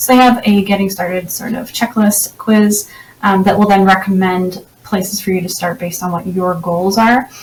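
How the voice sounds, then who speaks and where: Over noticeable background noise, a woman with a Canadian accent speaks at a medium pitch with fairly even intonation. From Canada. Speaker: website designer and tech reviewer. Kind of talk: software tutorial walkthrough. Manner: fast; casual, with frequent fillers.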